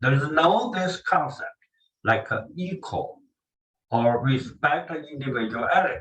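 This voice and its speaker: Speaking slowly-ish with a Chinese accent, a man uses a fairly high pitch and very wide pitch swings. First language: Mandarin Chinese. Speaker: language teacher. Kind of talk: lecture. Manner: halting.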